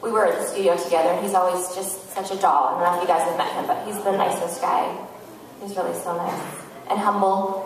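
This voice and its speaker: A woman's voice with strong room echo and light background noise. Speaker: guest. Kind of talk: Q&A answer. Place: hall. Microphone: camera far.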